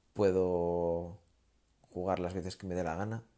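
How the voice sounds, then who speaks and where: A man with a very deep, low pitch and a dark, mellow tone speaks over a silent background on a very clean recording. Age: 30s. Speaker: amateur podcaster. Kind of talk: solo monologue. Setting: lying in bed. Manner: relaxed, rambling.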